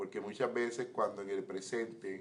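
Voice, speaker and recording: A man at a fairly slow pace. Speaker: pastor. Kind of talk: Bible teaching class. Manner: slow, measured.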